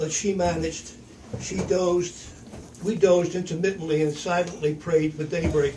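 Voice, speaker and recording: A man speaks at a moderate pace with high pitch. His intonation stays fairly even. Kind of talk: reading own written story aloud.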